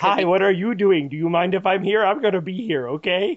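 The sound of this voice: In a put-on character voice, a man speaks high in pitch at a fairly quick pace.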